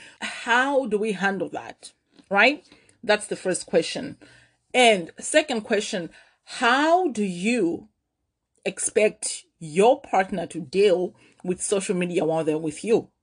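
Lively intonation at a very slow pace over a quiet background. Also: woman, medium pitch for a woman. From Malawi. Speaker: podcast host, former radio personality. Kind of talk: casual solo monologue.

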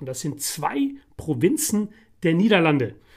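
A man at a fairly slow pace with lively intonation. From Netherlands (The Hague). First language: Dutch (speaking German). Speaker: podcast co-host. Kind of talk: casual chat.

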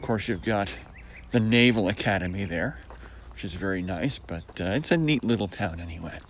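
This man speaks with an American accent. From US Northeast, Syracuse New York. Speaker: vlogger. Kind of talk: casual monologue. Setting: outdoors on a walk.

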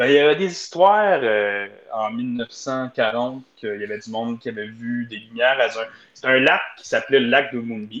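A man speaks in an ordinary speaking voice, medium in pitch, at a moderate pace with ordinary pitch variation. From Ontario. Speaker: community economic development officer. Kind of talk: casual chat.

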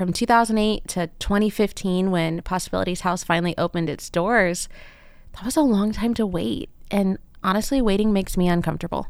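An ordinary speaking voice moves at a fairly quick pace with ordinary pitch variation in a very clean recording with a silent background. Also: woman, medium pitch for a woman. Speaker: podcast host. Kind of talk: casual interview.

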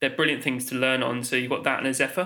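The voice has a bright, sharp tone and a southern English accent. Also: man. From England, Oxfordshire. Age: 20s. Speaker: Steadicam operator. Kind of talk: casual interview. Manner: hesitant, many fillers.

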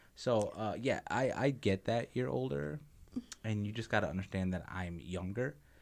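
In an unremarkable speaking voice, a man talks at a fairly low pitch with lively intonation. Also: moderate pace. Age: 20s. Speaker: podcast host. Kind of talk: casual chat.

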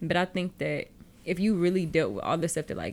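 A woman with an American accent talks fairly quickly at a fairly low pitch with vocal fry. The recording is very clean, with a silent background. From Texas, Houston area. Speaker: podcast host. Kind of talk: casual chat.

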